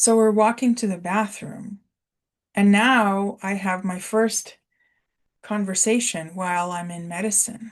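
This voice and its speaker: A woman speaks at a fairly slow pace with a medium pitch and a somewhat breathy quality. Her intonation is fairly even, and the background is quiet. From Russia. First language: Russian. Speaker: spiritual coach. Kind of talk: personal testimony. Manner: casual, with fillers.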